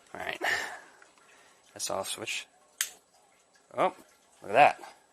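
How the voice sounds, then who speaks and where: A man speaks at a fairly slow pace, with noticeable background noise behind him. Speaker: DIY hobbyist. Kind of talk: casual DIY repair video talk to camera. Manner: whispered.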